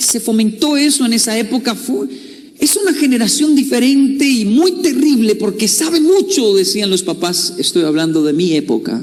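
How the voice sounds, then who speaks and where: A man speaks at an extremely high pitch and a moderate pace. Noticeable background noise sits behind him. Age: 30s. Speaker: motivational speaker. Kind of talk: motivational talk.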